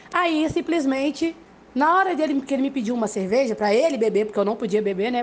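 Very fast and animated, a woman speaks at a high pitch with lively intonation. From Brazil, Belo Horizonte. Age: 30s. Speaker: listener sending a voice message. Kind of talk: personal story, voice message. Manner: animated, laughing while telling.

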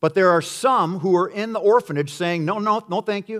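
Lively intonation from a man on a very clean recording with a silent background. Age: 50s. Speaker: pastor. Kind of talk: sermon.

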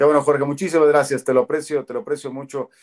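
A man with a central Mexican accent speaks at a fairly high pitch, his pitch varying in an ordinary way. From central Mexico, Toluca. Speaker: football commentator. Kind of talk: interview.

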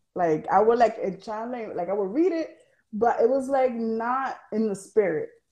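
Lively intonation rides over a dark, mellow tone at a moderate pace. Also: woman, fairly high pitch for a woman. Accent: American. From New York. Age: 20s. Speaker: church volunteer. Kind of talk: casual chat. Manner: halting.

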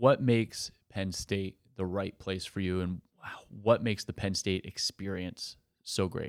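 In a normal speaking voice, a man talks at a fairly slow pace with fairly even intonation. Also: fairly low pitch for a man. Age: 30s. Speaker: podcast host. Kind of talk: interview; scripted intro.

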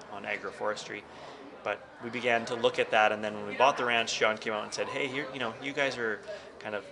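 A man with a western Canadian accent talks at a fairly low pitch with fairly even intonation, noticeable background noise behind him. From northern Alberta, Canada. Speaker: attorney and cattle rancher. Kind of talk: podcast interview.

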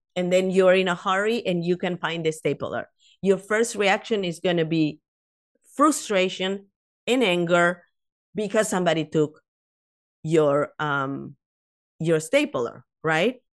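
In a Latin American accent, a woman of medium pitch speaks at a fairly slow pace with lively intonation and long, frequent pauses against a quiet background. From South America. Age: 50s. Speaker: author and life coach. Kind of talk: casual interview.

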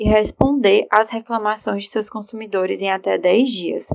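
A woman speaks at a moderate pace with a normal speaking voice. Her pitch is fairly high, with ordinary variation. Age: 20s. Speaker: lawyer. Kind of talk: prepared explanation.

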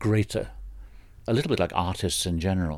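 This man's voice is very deep and low, with ordinary pitch variation. He talks at a fairly quick pace on a very clean recording with a silent background. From England, Brighton. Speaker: folklore professor. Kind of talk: interview. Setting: office. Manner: halting, with repetitions.

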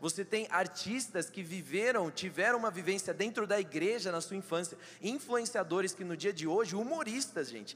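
A man's high-pitched, animated voice with ordinary pitch variation. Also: moderate pace. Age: 20s. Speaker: church member in politics. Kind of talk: testimony. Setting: church stage with audience.

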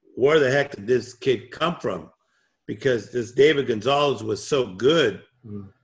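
The man speaks at a medium pitch. His voice has a somewhat breathy quality. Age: 50s. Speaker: motivational speaker and coach. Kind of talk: interview. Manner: calm.

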